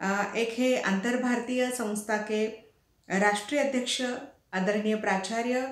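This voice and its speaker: A woman speaks in a Marathi accent with a fairly high pitch and fairly even intonation. Audible room echo surrounds her voice. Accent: Marathi-accented Hindi. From Maharashtra, India. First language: Marathi (speaking Hindi). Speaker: professor and teacher. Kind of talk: speech. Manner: halting, many fillers.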